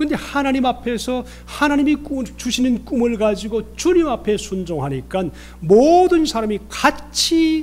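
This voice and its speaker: Music plays in the background as a man with a Gyeongsang accent talks at a fairly slow pace. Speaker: pastor. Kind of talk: sermon.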